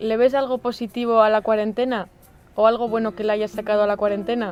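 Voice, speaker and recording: A woman talks at a very fast pace with a fairly high pitch. Her intonation is monotone and flat. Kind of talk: casual talk to camera.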